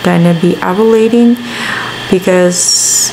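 A woman at a very slow pace amid noticeable background noise. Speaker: vlogger. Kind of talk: casual vlog chat. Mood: mildly exasperated, chatty. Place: home room. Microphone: phone near.

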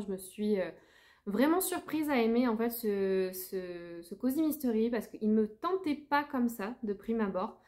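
Speaking at a moderate pace, a woman has a dark, mellow tone over a quiet background. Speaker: book vlogger. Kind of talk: casual vlog chat. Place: home room. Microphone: phone near.

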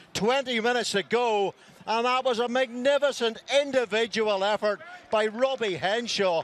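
With an animated tone and very even loudness, a man talks at an extremely high pitch over noticeable background noise. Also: ordinary pitch variation, moderate pace, dry, close sound with no echo. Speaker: rugby commentator. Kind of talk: live sports commentary with recap and scene-setting. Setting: highlights package voiceover over match footage. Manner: animated, excitable, rising with each try.

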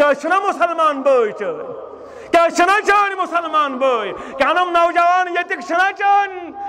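A man speaks in a raised, projected voice at an extremely high pitch. Light background noise is present. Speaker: Islamic preacher. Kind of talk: sermon. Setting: stage with audience. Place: tent. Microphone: headset.

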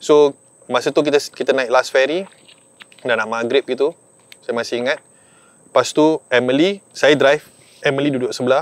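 A man at a fairly high pitch and moderate pace, with fairly even intonation, long, frequent pauses and a dry sound with no echo. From Malaysia, Melaka; Malaysia. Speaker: surfer; guest. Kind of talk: storytelling. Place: open country.

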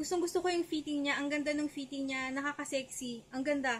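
Light background noise sits behind a woman's high-pitched voice. Her intonation stays fairly even. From Philippines. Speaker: beauty vlogger. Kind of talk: haul video. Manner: casual, conversational. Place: home room. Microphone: webcam.

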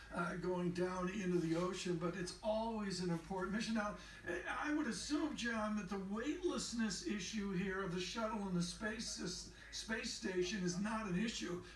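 Against noticeable background noise, a man speaks at a high pitch with very even loudness. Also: ordinary pitch variation, moderate pace. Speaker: radio and TV news anchor. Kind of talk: live news commentary. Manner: animated.

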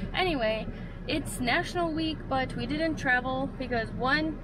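A woman talks at a moderate pace in a dry recording with no echo, over loud background noise. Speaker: vlogger. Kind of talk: casual vlog chat. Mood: cheerful, relaxed. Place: car. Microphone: phone near.

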